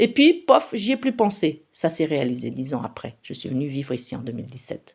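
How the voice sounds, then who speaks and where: A woman at a moderate pace with very wide pitch swings, on a very clean recording with a silent background. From Paris region, France. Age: 60s. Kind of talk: personal testimony. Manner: hesitant, many fillers.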